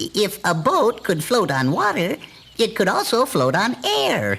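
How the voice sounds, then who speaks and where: In a cartoonish character voice, a man speaks high-pitched and fairly slowly, with very wide pitch swings, very even loudness, and light background noise. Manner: hesitant, full of uh's and chuckles.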